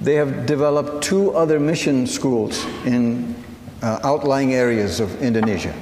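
A man at medium pitch keeps his loudness very even against noticeable background noise. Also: ordinary pitch variation, moderate pace. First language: Assyrian (Syriac). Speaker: missionary speaker. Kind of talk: sermon. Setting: church service.

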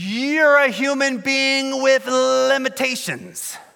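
A man's raised, projected voice with a bright, sharp tone, recorded very cleanly against a silent background. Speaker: pastor. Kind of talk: sermon. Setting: church.

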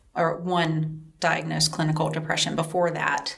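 A woman with a Southern US accent speaks at a very deep, low pitch, with noticeable background noise behind her. Her intonation is monotone and flat, and her pace is fairly slow. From upstate South Carolina, Greenville-Spartanburg. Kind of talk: personal testimony interview.

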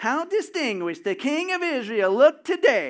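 A man puts on a whiny character voice at an extremely high pitch. His pitch swings very widely at a moderate pace. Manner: sarcastic, disgusted.

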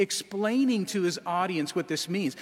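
Lively male inflection against noticeable background noise. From Alaska. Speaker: pastor. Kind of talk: sermon. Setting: church.

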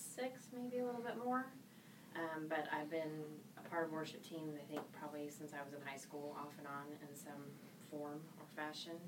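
A woman with a very deep, low pitch talks at a fairly quick pace with lively intonation, amid noticeable background noise and audible room echo. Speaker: worship team singer. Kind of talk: casual chat.

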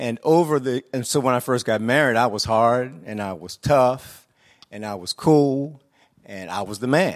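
A man with an American accent and a normal speaking voice talks at a moderate pace in medium pitch with ordinary pitch variation. His loudness swings a lot, and the recording is very clean with a silent background. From US inner city. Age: 60s. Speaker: church leader. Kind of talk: panel discussion. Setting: stage with audience.

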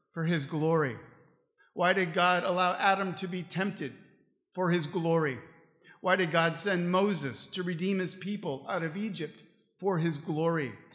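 A man with a high-pitched voice talks at a moderate pace with fairly even intonation and long, frequent pauses. The room echo is audible. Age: 50s. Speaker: pastor. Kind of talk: sermon. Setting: church.

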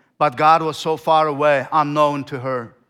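Over a very clean recording with a silent background, a man with a Turkmen accent speaks at a fairly high pitch, bright and sharp in tone, with fairly even intonation. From Turkmenistan. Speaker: missionary. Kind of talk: sermon. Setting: church. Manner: halting.

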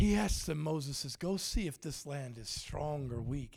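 A somewhat breathy voice. It moves at a moderate pace. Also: man. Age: 50s. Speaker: evangelist preacher. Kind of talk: sermon. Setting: church with audience. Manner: animated.

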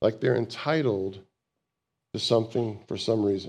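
A man speaks loudly at a moderate pace. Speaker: pastor. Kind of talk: sermon. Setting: church.

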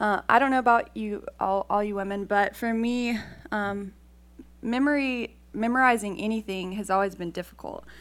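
A woman speaks at a moderate pace in a fairly high voice. Her pitch varies in an ordinary way. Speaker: campus ministry worker. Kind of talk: devotional talk. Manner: halting, many fillers.

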